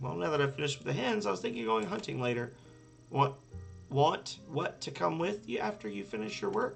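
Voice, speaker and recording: A raspy put-on character voice from a man at medium pitch, fairly quick, with very wide pitch swings and clear music in the background. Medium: game stream.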